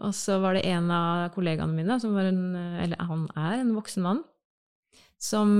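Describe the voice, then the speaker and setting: Against a quiet background, a woman with a fairly low pitch speaks at a fairly quick pace in an unremarkable speaking voice. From Norway, Bamble in Telemark. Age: 30s. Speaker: advertising agency worker. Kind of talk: casual chat.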